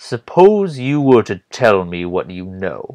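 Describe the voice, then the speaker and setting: Putting on a character voice, a man speaks at a medium pitch and fairly slow pace with very wide pitch swings. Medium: read story. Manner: commanding, probing.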